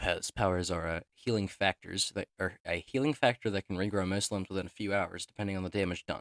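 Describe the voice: In plain reading aloud, the intonation stays fairly even over a quiet background.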